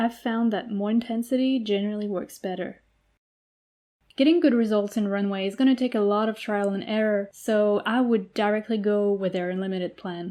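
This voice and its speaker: A woman with a French accent and a medium pitch talks at a fairly quick pace, her intonation fairly even. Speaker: eLearning designer. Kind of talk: tutorial.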